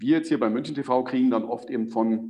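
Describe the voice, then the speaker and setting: A man with an ordinary speaking voice at a moderate pace. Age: 40s. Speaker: sports TV presenter. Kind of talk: interview.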